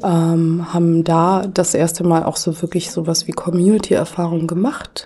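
A woman with a fairly low pitch speaks at a moderate pace, her intonation fairly even and her loudness very even. Noticeable background noise runs under her voice. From Germany. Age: 40s. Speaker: anti-racism activist. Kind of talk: podcast interview.

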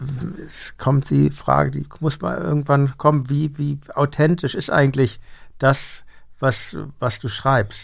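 A somewhat breathy voice at a very slow pace with ordinary pitch variation. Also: man. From Hamburg. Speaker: podcast host and musician. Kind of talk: interview. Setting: studio.

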